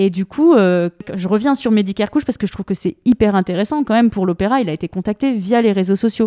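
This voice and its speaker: With ordinary pitch variation, a woman speaks in a dark, mellow tone. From France, Lyon region. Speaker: dance programmer. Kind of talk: interview conversation. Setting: in person.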